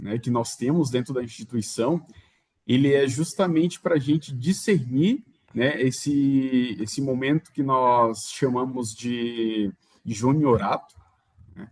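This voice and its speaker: With ordinary pitch variation, the delivery unfolds very slowly. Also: man. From Maranhão, northeastern Brazil. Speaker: religious brother. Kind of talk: interview. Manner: halting, with fillers.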